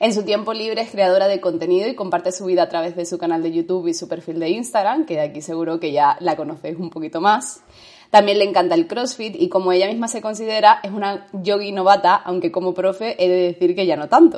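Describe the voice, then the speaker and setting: The words rush out at a very fast pace with hardly any pauses, against noticeable background noise. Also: woman, medium pitch for a woman, ordinary pitch variation. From Andalusia, Spain. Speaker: podcast co-host, yoga teacher. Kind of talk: casual chat.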